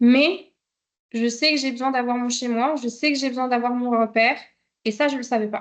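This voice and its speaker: A high-pitched woman's voice with fairly even intonation and long, frequent pauses. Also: moderate pace. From Belgium. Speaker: travel vlogger. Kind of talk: live stream talk. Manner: hesitant, many fillers.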